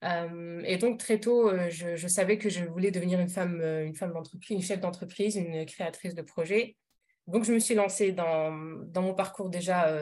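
At a moderate pace, a woman speaks at medium pitch in a dark, mellow tone with fairly even intonation. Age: 30s. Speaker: parenting coach. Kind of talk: casual interview. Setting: podcast recording. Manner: hesitant, frequent fillers.

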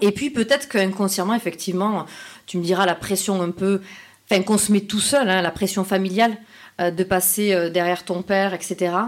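A woman of medium pitch, an unremarkable speaking voice and fairly even intonation. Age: 30s. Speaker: fashion entrepreneur. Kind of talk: casual interview. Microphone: poor sound quality.

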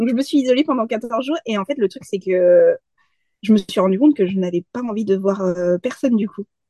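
In a dry, close recording with no echo, a woman with a dark, mellow tone speaks at a fairly quick pace and a fairly high pitch, with ordinary pitch variation. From France. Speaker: freelance graphic designer and community manager. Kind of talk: casual interview.

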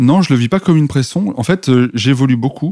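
With lively intonation and a dark, mellow tone, a man speaks at a fairly quick pace in a dry, close sound with no echo, on a very clean recording with a silent background. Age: 30s. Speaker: entrepreneur. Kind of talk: interview. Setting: shop.

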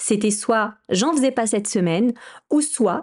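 The pitch swings very widely at a fairly slow pace, and the voice is somewhat breathy. The background is quiet. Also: woman. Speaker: podcast host and entrepreneur. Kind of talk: solo podcast monologue. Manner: halting. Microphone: new microphone.

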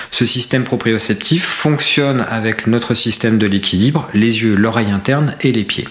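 Over noticeable background noise, a man at a medium pitch speaks at a moderate pace with ordinary pitch variation and very even loudness. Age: 40s. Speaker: podiatrist and orthotist. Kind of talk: interview.

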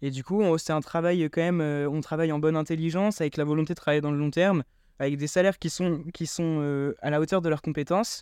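A plain, everyday voice from a man, fairly high-pitched, fairly quick, with fairly even intonation against a quiet background. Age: 20s. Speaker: student startup founder. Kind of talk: interview.

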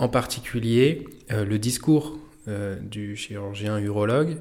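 His pitch sits fairly low for a man. The man's pitch rises and falls in an ordinary way. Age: 40s. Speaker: physiotherapist and acupuncturist. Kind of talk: personal testimony. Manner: halting.

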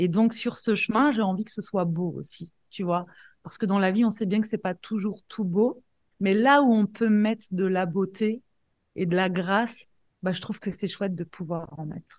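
Over a quiet background, a woman with a somewhat breathy, medium-pitched voice speaks at a moderate pace with ordinary pitch variation. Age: 40s. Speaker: life coach and entrepreneur. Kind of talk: interview.

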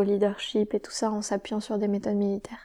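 In a very clean recording with a silent background, a woman speaks with monotone, flat intonation and a dark, mellow tone. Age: 20s. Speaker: environmental engineer and entrepreneur. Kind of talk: interview. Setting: on location at a shared living site.

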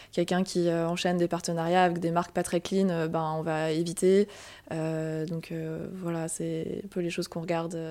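At a moderate pace, a woman speaks in a fairly low pitch with a dark, mellow tone and monotone, flat intonation. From Alsace, Strasbourg. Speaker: marketing manager. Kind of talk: interview.

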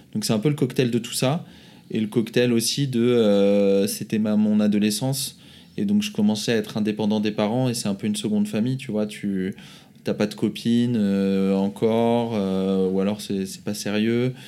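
An ordinary speaking voice from a man, fairly low in pitch, with fairly even intonation and a moderate pace, on a very clean recording with a silent background. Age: 30s. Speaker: entrepreneur. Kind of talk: casual chat.

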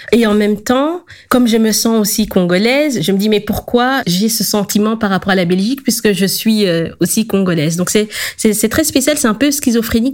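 A woman speaks in a normal speaking voice at a moderate pace, with a fairly high pitch and ordinary pitch variation. Her loudness stays very even. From Belgium, Congolese parents. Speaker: decolonial activist. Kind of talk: life-story interview.

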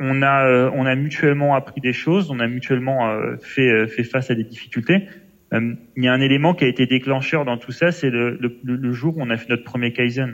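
Delivery moves at a moderate pace. Intonation remains fairly even throughout. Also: man, medium pitch for a man. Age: 20s. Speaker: logistics manager. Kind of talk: interview. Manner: hesitant, many fillers.

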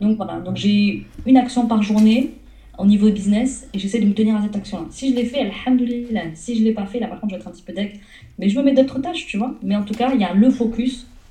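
At a very fast pace, a woman talks with a fairly high pitch, ordinary pitch variation and big swings in loudness over noticeable background noise. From southern France. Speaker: entrepreneur and business coach. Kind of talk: interview.

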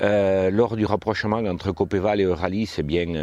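A man speaking at a moderate pace. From southwest France, Haute-Garonne near Toulouse. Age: 50s. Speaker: farmer. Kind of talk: interview. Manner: hesitant with frequent fillers.

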